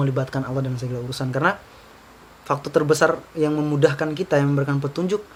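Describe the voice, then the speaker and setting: Speaking at a very fast pace, the man has a fairly high pitch. His words come quickly. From Southeast Sulawesi (Baubau, Buton). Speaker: university student leader. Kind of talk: casual interview chat. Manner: casual, hesitant with fillers.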